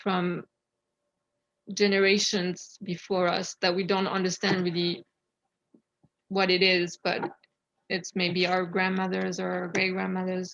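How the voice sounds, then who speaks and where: With a French accent, a woman at medium pitch speaks at a fairly slow pace in a monotone, flat intonation, taking long, frequent pauses. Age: 30s. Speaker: poet. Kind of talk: casual talk to audience. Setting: video call.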